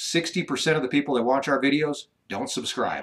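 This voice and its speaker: Fairly high in pitch, the man speaks with fairly even intonation. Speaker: ranch vlogger, former radio host. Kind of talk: live stream chat. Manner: fast; radio voice.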